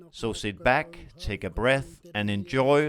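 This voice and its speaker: Speaking at a very slow pace with a non-native accent, a man uses lively intonation at a medium pitch. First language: not English. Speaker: podcast host. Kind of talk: scripted podcast intro.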